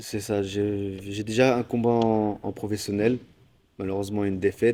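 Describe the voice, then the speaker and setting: A fairly low-pitched man's voice, dark and mellow, monotone and flat, at a fairly slow pace. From Normandy, France. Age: 20s. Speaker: MMA fighter. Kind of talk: interview. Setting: gym.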